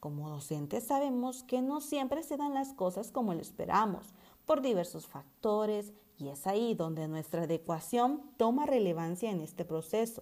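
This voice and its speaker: A woman talks at a moderate pace in a dark, mellow tone. Her pitch sits in the medium range yet swings very widely. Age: 20s. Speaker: preschool teacher. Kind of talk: scripted narration. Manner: formal.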